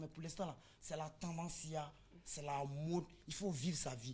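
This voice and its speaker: The woman's voice is somewhat breathy and sits at a fairly low pitch. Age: young. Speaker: interviewee on TV show. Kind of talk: TV street interview, casual.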